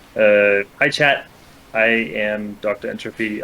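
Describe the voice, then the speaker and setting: A fairly low male voice with a Danish accent. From Denmark, Copenhagen. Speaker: guest, former speedrun streamer. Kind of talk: casual chat.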